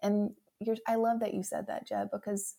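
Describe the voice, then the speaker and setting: In a strong Southern US accent, a woman with a fairly high pitch speaks at a fairly slow pace with monotone, flat intonation. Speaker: memoir author. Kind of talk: casual chat.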